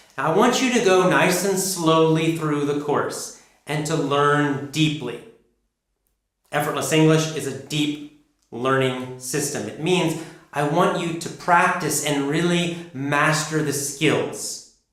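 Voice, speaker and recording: A man with an American accent speaks at a very slow pace and fairly high pitch, with ordinary pitch variation and audible room echo. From United States. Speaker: English pronunciation teacher. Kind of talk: course introduction. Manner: clear, deliberate.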